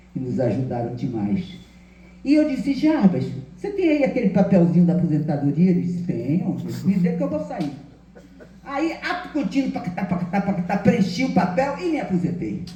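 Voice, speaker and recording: Her pitch swings very widely as a woman speaks at a moderate pace. Both audible room echo and noticeable background noise are present. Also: medium pitch for a woman. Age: 80s+. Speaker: retired law professor. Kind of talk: lecture. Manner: animated.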